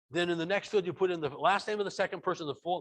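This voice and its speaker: A man speaking at a very fast pace. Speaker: software trainer. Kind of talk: webinar tutorial. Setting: online webinar from home. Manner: loud.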